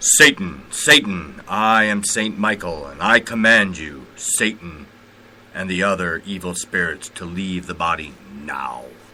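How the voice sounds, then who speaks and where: Using a put-on character voice, a man delivers his lines fairly slowly at a very deep, low pitch. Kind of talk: solemn, formal. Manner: commanding, authoritative.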